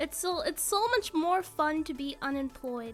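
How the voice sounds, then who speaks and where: Music plays in the background as a soft-spoken woman with a high pitch speaks at a moderate pace with lively intonation. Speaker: streamer. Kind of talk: casual chat. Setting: live stream. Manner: animated. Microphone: mic turned up, was too quiet.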